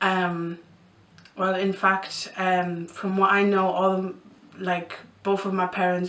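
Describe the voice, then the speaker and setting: The speaker talks at a fairly slow pace over noticeable background noise, with audible echo from the room. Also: woman. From Poland (Bytom, near Katowice), moved to East Yorkshire at 11. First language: Polish. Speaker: vlogger. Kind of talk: casual Q&A vlog. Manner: hesitant, many fillers.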